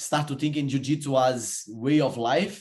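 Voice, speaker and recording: A man speaks in a Portuguese accent with ordinary pitch variation. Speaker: podcast host. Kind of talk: casual interview chat.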